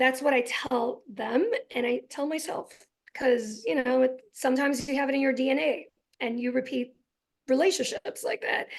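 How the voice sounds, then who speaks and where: A woman speaks loudly in a high pitch. Her pace is moderate, with ordinary pitch variation. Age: 40s. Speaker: physician and guest speaker. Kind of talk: interview.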